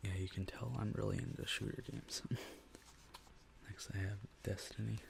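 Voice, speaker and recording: Whispering and soft-spoken, a man talks at a moderate pace. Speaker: ASMR content creator. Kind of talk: ASMR gaming haul video. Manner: soft-spoken, whispery.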